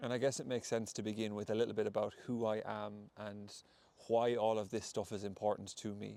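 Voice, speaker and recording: A man's fairly quick, monotone, flat delivery in a western Irish accent, fairly low in pitch with a dark, mellow tone. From Ireland, County Mayo. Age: 20s. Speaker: podcast host and breathwork facilitator. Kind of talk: solo podcast monologue. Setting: outdoors in a wood.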